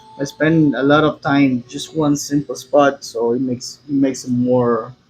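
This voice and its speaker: Monotone, flat intonation from a man with a Spanish accent, fairly high in pitch at a moderate pace, with noticeable background noise. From Cuba. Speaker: tattoo artist. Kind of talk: casual chat. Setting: tattoo studio. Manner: halting.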